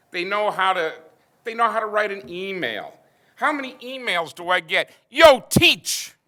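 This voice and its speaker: A man speaks in a raised, projected voice, high-pitched, bright and sharp. His intonation is lively, and his loudness swings widely. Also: moderate pace. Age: 60s. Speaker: math teacher. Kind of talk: panel discussion. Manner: animated.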